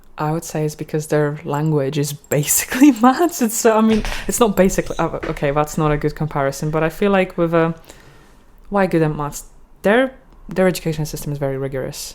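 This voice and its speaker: A woman with a Polish accent, fairly low-pitched, speaking at a fairly quick pace. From Poland. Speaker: podcast guest, language learner. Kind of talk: casual chat.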